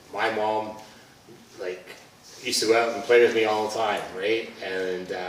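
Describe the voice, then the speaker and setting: A man's fairly low, monotone, flat delivery at a moderate pace, full of long, frequent pauses, with audible room echo and noticeable background noise. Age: 50s. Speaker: police officer. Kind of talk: community talk. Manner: conversational.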